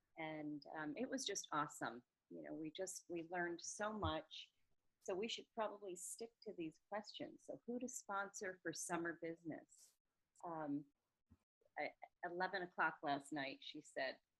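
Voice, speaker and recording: This woman speaks with a Massachusetts accent at a fairly slow pace. Her intonation is lively. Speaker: sales consultant. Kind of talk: group video meeting. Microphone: too quiet, hard to hear.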